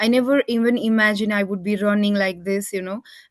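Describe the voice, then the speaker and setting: A woman with a non-native accent talks at a very fast pace, her medium pitch held in fairly even intonation. The sound is dry and close with no echo, over a quiet background. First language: not English. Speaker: online group session host. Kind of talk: video call group discussion.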